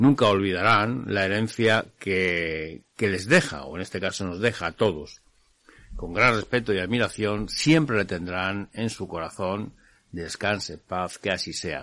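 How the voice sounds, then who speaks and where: A man with a fairly low voice and a bright, sharp tone speaks at a fairly slow pace. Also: ordinary pitch variation. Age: 50s. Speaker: radio host of a motorcycle show. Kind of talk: radio show monologue. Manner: hesitant with frequent fillers.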